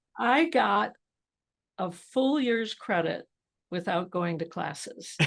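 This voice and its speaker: A woman with an American accent speaks at a medium pitch and a very slow pace, her pitch swinging very widely and her voice showing vocal fry. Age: 80s+. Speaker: entrepreneur. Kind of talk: interview. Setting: podcast.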